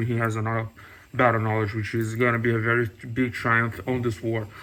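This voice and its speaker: Speaking at a fairly quick pace, a man has a non-native accent. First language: not English. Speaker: TV review youtuber. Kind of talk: casual video review. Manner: hesitant, many fillers.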